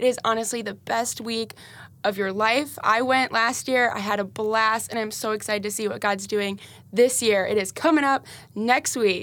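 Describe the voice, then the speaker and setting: Woman with an unremarkable speaking voice, fairly high in pitch, at a moderate pace with fairly even intonation, on a very clean recording with a silent background. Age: 20s. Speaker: church apprentice and administrator. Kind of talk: devotional Bible discussion. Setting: studio.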